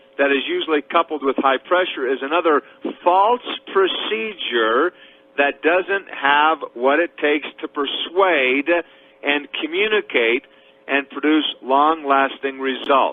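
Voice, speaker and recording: Lively intonation marks a man's speech, delivered at a fairly slow pace. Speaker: network marketing trainer. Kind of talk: lecture. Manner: loud when excited.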